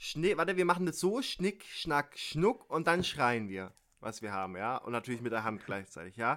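Bright and sharp in tone, an animated man speaks at a moderate pace with a fairly high pitch and very wide pitch swings. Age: 20s. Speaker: podcast co-host. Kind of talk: casual chat. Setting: remote call with slight delay. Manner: halting.

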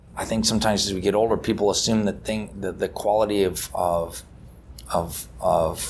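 This man speaks at a moderate pace with an American accent, his fairly low pitch carrying some vocal fry. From Napa Valley, California. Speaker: winemaker. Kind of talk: casual interview. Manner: halting, many fillers.

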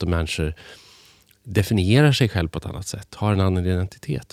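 A man speaks with ordinary pitch variation. The recording is very clean and dry, with a silent background and a close sound free of echo. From Sweden, Hälsingland. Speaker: journalist and author. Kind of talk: interview conversation. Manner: halting, many restarts and fillers.

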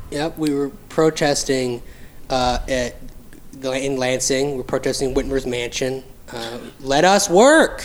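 A man with a fairly high pitch, a normal speaking voice, fairly even intonation, and a fairly slow pace. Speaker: podcast co-host. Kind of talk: casual chat. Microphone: poor mic picking up breath and pops.

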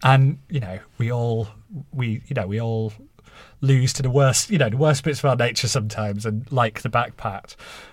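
A man's somewhat breathy voice at a medium pitch, moderate pace and ordinary pitch variation, on a very clean recording with a silent background. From Halifax, northern England. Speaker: journalist and author. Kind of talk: interview answers.

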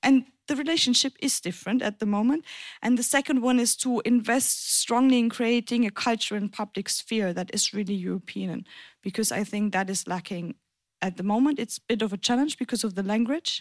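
In a German accent, a woman speaks at a fairly quick pace and fairly high pitch with ordinary pitch variation and big swings in loudness, on a very clean recording with a silent background and a dry, close sound with no echo. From Germany, German-French border region. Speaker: politician. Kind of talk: panel discussion.

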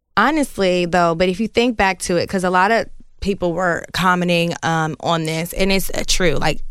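With a normal speaking voice, this woman keeps a medium pitch and a moderate pace, and her intonation is lively. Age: 30s. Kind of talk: casual chat.

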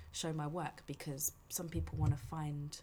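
This woman has a very deep, low pitch and a dark, mellow tone, with vocal fry throughout. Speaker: dancer and director. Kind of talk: casual chat.

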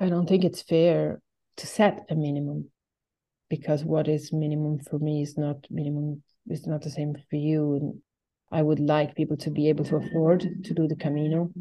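In an Italian accent, a woman speaks with a flat, monotone intonation. Her pitch is very deep and low. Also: moderate pace. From Italy. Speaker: albergue host. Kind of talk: interview. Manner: laughs often.

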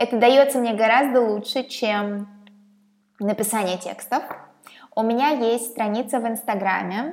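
A woman's fairly high voice at a fairly slow pace, with fairly even intonation and long, frequent pauses. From Russia, Saint Petersburg. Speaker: podcaster. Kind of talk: channel introduction monologue.

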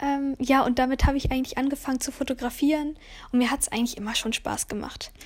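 In a high, monotone voice, a woman races along at a very fast pace. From Lower Rhine, Germany (Kempen). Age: 20s. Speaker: wedding photographer. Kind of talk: casual monologue. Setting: at home on couch. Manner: halting, many fillers.

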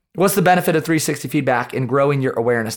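Recorded very cleanly against a silent background, a man with an American accent and an unremarkable speaking voice talks at a fairly high pitch with ordinary pitch variation. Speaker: podcast host and leadership coach. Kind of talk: solo podcast monologue.

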